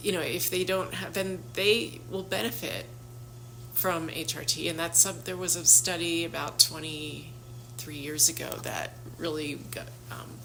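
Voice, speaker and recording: Amid noticeable background noise and audible room echo, a woman speaks at a fairly slow pace with big swings in loudness. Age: 60s. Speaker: health practitioner. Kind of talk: casual talk to camera. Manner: conversational with frequent fillers.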